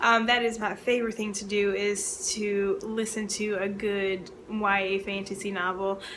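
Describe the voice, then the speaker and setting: Audible room echo and noticeable background noise surround a woman with an American accent and medium pitch. She keeps a moderate pace with hardly any pauses and a monotone, flat intonation. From Baltimore, Maryland, US. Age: 30s. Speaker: librarian and book video creator. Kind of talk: casual chat to camera (tag video).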